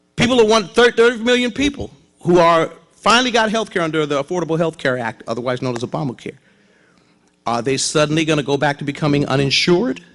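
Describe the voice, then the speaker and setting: A man talks loudly at a very fast pace, his fairly high voice making very wide pitch swings. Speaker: pastor. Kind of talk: sermon.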